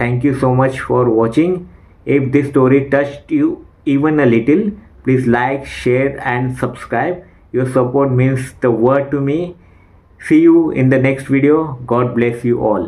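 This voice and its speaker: There is audible room echo around a man whose medium-pitched voice keeps fairly even intonation. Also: fairly slow pace. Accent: Indian. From India, Maharashtra. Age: 40s. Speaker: English learner and YouTuber. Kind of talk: personal testimony. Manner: speech disfluency.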